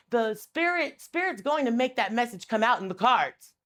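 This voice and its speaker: A woman speaks loud in an animated tone, with very wide pitch swings. The recording is very clean, with a silent background. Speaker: tarot reader and spiritual advisor. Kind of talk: impassioned educational rant to camera. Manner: animated, aggressive-sounding.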